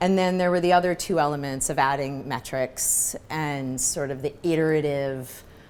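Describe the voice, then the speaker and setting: A woman talks with a New York accent. Her pace is moderate. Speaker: marketing executive. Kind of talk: fireside chat interview. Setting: live event with audience.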